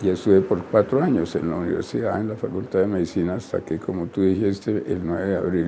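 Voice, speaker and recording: Amid noticeable background noise, a man with a fairly low pitch speaks at a moderate pace with ordinary pitch variation. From Colombia. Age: 90s. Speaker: retired surgeon and professor. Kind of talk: interview. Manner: halting, many fillers.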